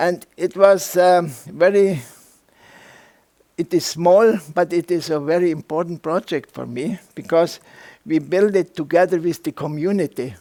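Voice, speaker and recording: Recorded with a dry, close sound and no echo, a man with a non-native accent speaks at a fairly slow pace, his high pitch carrying a dark, mellow tone. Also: fairly even intonation. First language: German. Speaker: architect and rammed earth builder. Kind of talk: lecture. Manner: halting, many fillers.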